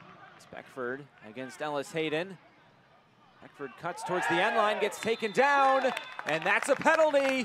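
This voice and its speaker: Over crowd noise in the background, a man with high pitch and very wide pitch swings talks at a moderate pace, leaving long, frequent pauses. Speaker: football commentator. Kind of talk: live play-by-play football commentary over match highlights. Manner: excitable, rising to shouts on goals.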